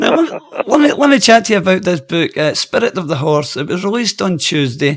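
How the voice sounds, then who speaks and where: A man with a high pitch talks at a fairly quick pace with hardly any pauses, his pitch swinging very widely over noticeable background noise. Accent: Scottish. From Scotland, Airdrie. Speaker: radio host. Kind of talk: interview.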